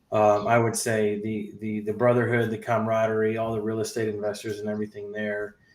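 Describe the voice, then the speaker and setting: A man with a normal speaking voice talks fairly quickly at a fairly low pitch. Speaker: real estate investor, podcast host. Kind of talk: podcast interview host. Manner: casual, upbeat.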